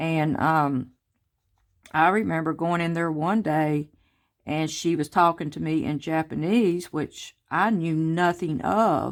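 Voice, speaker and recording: Her pitch is very deep and low for a woman, with ordinary pitch variation. She speaks at a very slow pace on a very clean recording with a silent background. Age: 50s. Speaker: craft vlogger. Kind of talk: casual chat. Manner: chatty, informal.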